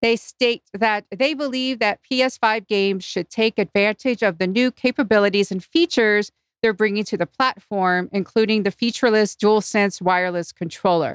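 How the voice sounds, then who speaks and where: In a dry, close recording with no echo and a quiet background, a woman with an ordinary speaking voice talks at a moderate pace and a medium pitch, with ordinary pitch variation and hardly any pauses. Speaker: podcaster. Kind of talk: casual chat. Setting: live-streamed remote recording.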